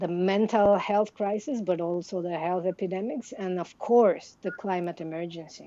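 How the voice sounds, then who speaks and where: A woman with a Mexican accent and a dark, mellow tone, at a moderate pace with ordinary pitch variation. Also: medium pitch for a woman, hardly any pauses. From Mexico, highlands of Chiapas. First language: Tzeltal Maya. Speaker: contemplative science researcher. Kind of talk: interview. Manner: halting, many fillers.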